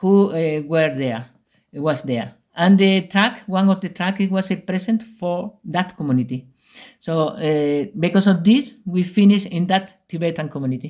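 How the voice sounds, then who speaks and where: A man with a Spanish accent speaks at a high pitch with ordinary pitch variation, on a very clean recording with a silent background. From Spain, Extremadura/Andalusia. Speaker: retreat center founder. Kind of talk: interview. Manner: halting.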